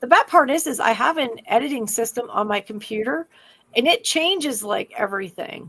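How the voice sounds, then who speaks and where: A woman speaks at a moderate pace in a high pitch, her tone bright, sharp and animated. Her intonation is lively, and her loudness swings widely. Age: 50s. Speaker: podcast co-host. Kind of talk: casual chat.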